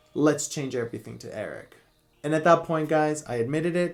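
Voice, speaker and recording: A man speaks with a Spanish accent, his pitch fairly high. His tone is animated, and his pitch varies in an ordinary way. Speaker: beauty YouTuber. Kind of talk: casual vlog monologue.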